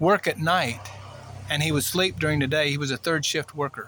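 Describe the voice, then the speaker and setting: A man talks fairly quickly, his voice pitched fairly high. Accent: American. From US Midwest, Illinois. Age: 60s. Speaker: personal vlogger. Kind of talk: personal testimony monologue. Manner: halting, with many fillers.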